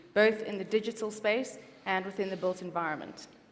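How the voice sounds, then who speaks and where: Talking at a fairly quick pace with fairly even intonation, a woman is heard with audible room echo. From South Africa. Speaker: accessibility consultant. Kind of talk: conference presentation.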